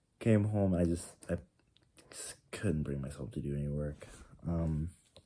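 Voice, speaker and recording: The man's pitch sits very deep and low. His voice carries a dark, mellow tone. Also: ordinary pitch variation, moderate pace, big swings in loudness. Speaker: vlogger. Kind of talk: casual video diary monologue. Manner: halting, many fillers and restarts; loud.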